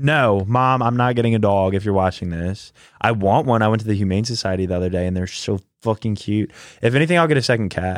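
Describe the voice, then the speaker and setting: The speech comes at a very fast pace with ordinary pitch variation. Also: man, fairly low pitch for a man. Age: 20s. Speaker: podcast co-host. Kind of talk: casual chat.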